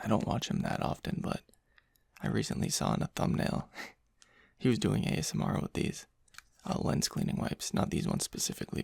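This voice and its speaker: A soft-spoken man talks at a fairly quick pace with long, frequent pauses. The sound is dry and close, with no echo. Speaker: ASMR creator. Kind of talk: ASMR soft-spoken talk to camera.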